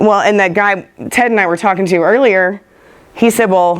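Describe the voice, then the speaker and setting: A woman with a Texan accent talks at a moderate pace and a medium pitch. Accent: Texan Southern US. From West Texas. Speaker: soil scientist speaker. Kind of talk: conference talk with questions.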